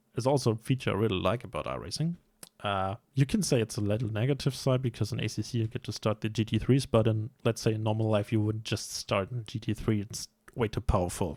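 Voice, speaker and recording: With a German accent, the speaker moves at a fairly quick pace with ordinary pitch variation. The sound is dry and close with no echo, on a very clean recording with a silent background. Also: man. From Germany. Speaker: sim racing YouTuber. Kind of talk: casual vlog commentary. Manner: hesitant, many fillers.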